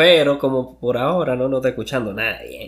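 A man with a medium-pitched voice talks at a moderate pace with fairly even intonation. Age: 20s. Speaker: podcast co-host. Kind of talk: casual chat.

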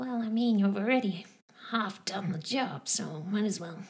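A put-on character voice that sounds female comes at a moderate pace and a medium pitch for a woman. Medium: actual play. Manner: rambling, hesitant.

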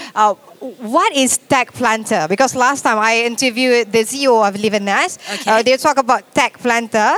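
The speaker has a Malaysian accent, ordinary pitch variation and a moderate pace. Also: woman. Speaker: radio podcast host. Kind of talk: interview.

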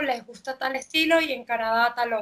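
A woman speaks in a high pitch with a bright, sharp tone. Her intonation is monotone and flat, at a moderate pace. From Venezuela. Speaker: interviewer, fitness dance instructor. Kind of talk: interview.

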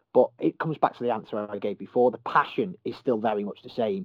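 Man with a Merseyside accent, talking at a very fast pace with ordinary pitch variation. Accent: Merseyside (Scouse). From Merseyside, England. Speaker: football journalist. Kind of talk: casual interview.

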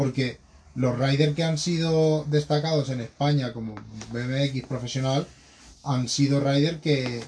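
Fairly high-pitched and somewhat breathy, a man speaks at a fairly slow pace. His intonation stays fairly even. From Spain, Madrid. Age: 20s. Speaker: BMX rider. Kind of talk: interview.

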